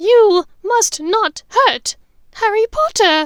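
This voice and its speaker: Putting on a character voice, a woman talks at a very slow pace in an extremely high, squeaky, shaky pitch. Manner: frightened but determined.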